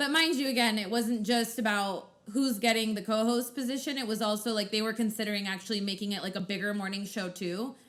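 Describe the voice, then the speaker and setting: A very fast pace with hardly any pauses, ordinary pitch variation, and noticeable background noise behind it. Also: woman, fairly high pitch for a woman. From Mexican heritage. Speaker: podcast co-host and radio host. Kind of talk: casual chat. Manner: loud.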